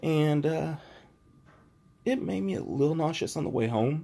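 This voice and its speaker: Soft-spoken and dark, mellow in tone, a man speaks with lively intonation on a very clean recording with a silent background. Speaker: vlogger recovering from surgery. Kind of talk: casual video diary. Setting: at home.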